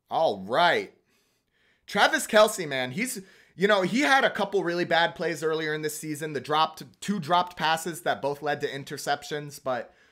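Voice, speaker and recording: A man speaks in an animated, excited tone at a fairly high pitch, his voice bright and sharp. The pace is moderate, and the recording is very clean with a silent background. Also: lively intonation. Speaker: sports streamer doing play-by-play. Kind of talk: live commentary.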